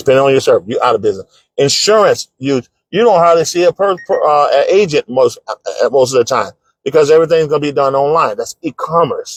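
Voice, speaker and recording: A man talks at a fairly quick pace. The sound is dry and close, without echo. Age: 60s. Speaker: author and business coach. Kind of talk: live-stream talk. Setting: home living room. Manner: casual, halting.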